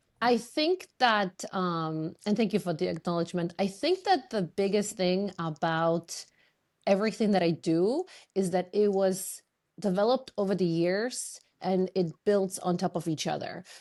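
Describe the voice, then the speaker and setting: A woman with a Polish accent speaks at a fairly slow pace and medium pitch, her pitch varying in an ordinary way against a quiet background. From Poland. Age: 40s. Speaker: fitness and business coach. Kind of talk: podcast interview.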